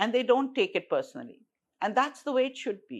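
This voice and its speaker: A woman speaks against a quiet background. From Hong Kong, then Pakistan. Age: 70s. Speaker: tech entrepreneur. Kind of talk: casual chat. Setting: podcast.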